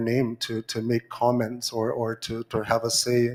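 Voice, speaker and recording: This man speaks at a medium pitch. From Arctic Inuit region. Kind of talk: conference floor remarks. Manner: halting, many fillers and repetitions.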